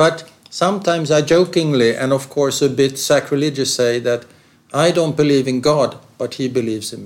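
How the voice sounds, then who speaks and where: A man with a normal speaking voice talks fairly quickly at a fairly high pitch, with ordinary pitch variation and big swings in loudness. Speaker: interviewer. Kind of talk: interview.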